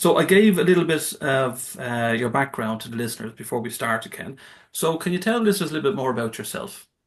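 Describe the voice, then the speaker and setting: Speaking at a very fast pace, a man with an Irish accent uses a fairly high pitch and very wide pitch swings. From Ireland. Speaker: podcast host. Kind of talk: interview. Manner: halting.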